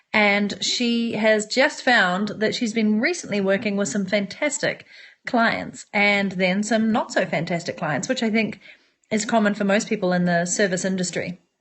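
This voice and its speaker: Speaking in a New Zealand accent, a woman keeps a moderate pace. Her pitch is medium, with ordinary variation. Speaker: entrepreneur and online business coach. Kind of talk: live-stream monologue to viewers. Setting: smartphone live broadcast. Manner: animated.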